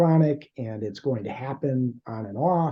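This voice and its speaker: A man speaks at a very slow pace, his medium-pitched voice somewhat breathy with a dark, mellow tone. His pitch varies an ordinary amount. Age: 60s. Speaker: podcast host. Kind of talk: interview. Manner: halting, many fillers.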